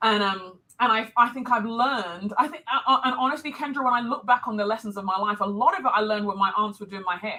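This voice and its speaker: In a London accent, a woman speaks very fast with hardly any pauses. Her pitch is fairly high. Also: ordinary pitch variation. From London, England (Nigerian heritage). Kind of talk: live interview.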